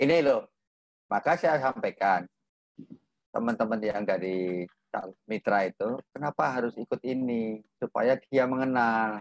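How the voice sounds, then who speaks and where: At a fairly slow pace, a man speaks with ordinary pitch variation in a dry, echo-free sound over a quiet background. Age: 50s. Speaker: property business mentor; host of online property class. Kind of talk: online class hosting. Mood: relaxed, joking. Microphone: video call.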